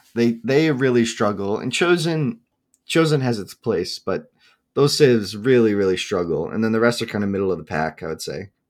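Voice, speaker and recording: On a very clean recording with a silent background, a man talks in an ordinary speaking voice at a medium pitch and moderate pace, his intonation lively. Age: 20s. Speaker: esports tournament streamer and player. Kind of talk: casual interview chat.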